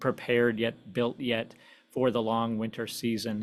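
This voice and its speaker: A man with an American accent talks at medium pitch. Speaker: historian and author. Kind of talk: presentation. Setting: virtual event. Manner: fast.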